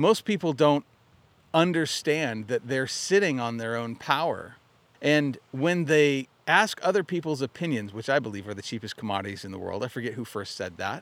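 With a General American accent, a man talks at a moderate pace in a medium pitch, his pitch swinging very widely and his loudness rising and falling sharply. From Arizona. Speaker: mindset coach, podcast host. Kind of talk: motivational monologue. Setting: outdoors by a lake.

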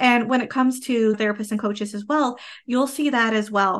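A woman with a Canadian accent and an ordinary speaking voice, fairly high in pitch with ordinary pitch variation, at a moderate pace against a quiet background. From Canada. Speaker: podcast host and business coach. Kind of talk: interview.

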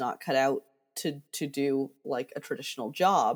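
A woman speaks with an American accent at a fairly slow pace. Music plays in the background. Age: 40s. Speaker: digital marketer. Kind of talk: interview storytelling.

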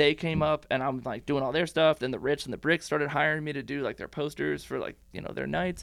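A man's fairly high voice with vocal fry, a fairly quick pace and monotone, flat intonation. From Washington State, moved around US. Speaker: graphic designer. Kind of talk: casual interview chat. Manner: fast talker, amped.

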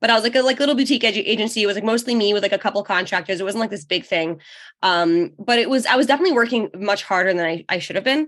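In a New York accent, the speech runs at a very fast pace with ordinary pitch variation. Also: woman, fairly high pitch for a woman, quiet background. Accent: American (New York) English. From New York, then Israel from age 13. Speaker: online business owner and mother of five. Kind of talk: podcast interview. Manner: casual, halting with fillers.

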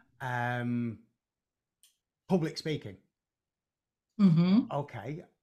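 In a northern English accent, a man speaks very slowly with long, frequent pauses, using a dark, mellow tone at a fairly high pitch with lively intonation. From northern England, Preston. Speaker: hypnotherapist and psychotherapist. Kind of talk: casual conversation. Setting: video call.

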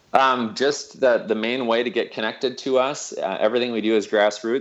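Male voice at medium pitch, a normal speaking voice with an American accent and a fairly quick pace. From US Midwest, Minnesota. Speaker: pastor and hunger-relief organizer. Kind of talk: podcast interview.

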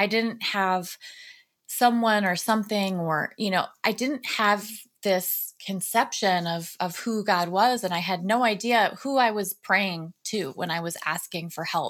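A woman with an ordinary speaking voice talks at a fairly slow pace, her medium pitch showing ordinary pitch variation in a very clean recording with a silent background. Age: 40s. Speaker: author and recovery advocate. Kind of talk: interview conversation.

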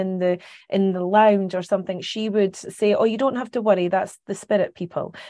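A woman speaks with a Scottish accent against a quiet background. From Scotland, Carnoustie near Dundee. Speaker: psychic medium. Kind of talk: interview.

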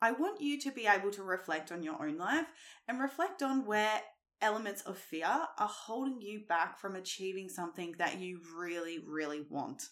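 At a moderate pace, a woman speaks in a medium pitch with very wide pitch swings. The recording is very clean, with a silent background. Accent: Australian. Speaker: fitness coach and nutritionist. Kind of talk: solo podcast monologue. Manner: animated.

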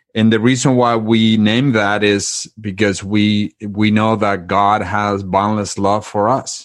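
With a Spanish accent, a man speaks at a very slow pace in a monotone, flat intonation, with very even loudness and hardly any pauses. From Spain, Madrid. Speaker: author and marriage retreat facilitator. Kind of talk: interview, faith-based conversation.

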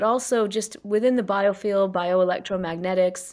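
Over a very clean recording with a silent background, a woman with a plain, everyday voice speaks at a moderate pace and medium pitch in an American accent. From US South, South Carolina. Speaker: scientist and psychologist. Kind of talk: interview conversation; guided reflection.

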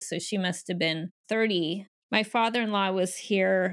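In a plain, everyday voice, a woman with a medium pitch speaks at a fairly slow pace with fairly even intonation, on a very clean recording with a silent background. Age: 50s. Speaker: podcast host and life coach. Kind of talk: casual chat; scripted introduction.

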